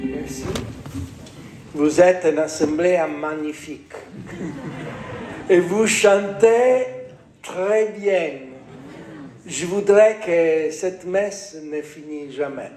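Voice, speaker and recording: A man with an Italian accent speaks at a very slow pace in a high pitch, with long, frequent pauses and ordinary pitch variation. His loudness swings widely, and noticeable background noise sits behind him. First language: Italian (speaking French). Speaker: church official. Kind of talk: address at a mass.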